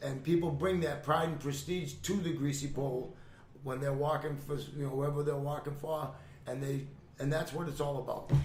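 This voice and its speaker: A man with a Boston accent speaks at a fairly high pitch and a moderate pace in a monotone, flat intonation, with audible room echo. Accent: Boston-area New England. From Gloucester, Massachusetts. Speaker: retired fisherman. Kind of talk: casual chat. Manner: halting.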